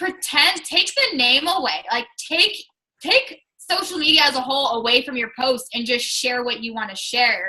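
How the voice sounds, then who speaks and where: A high-pitched woman's raised, projected voice with an American accent, lively intonation and a moderate pace. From Washington State, US Pacific Northwest. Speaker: fitness coach. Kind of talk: casual chat.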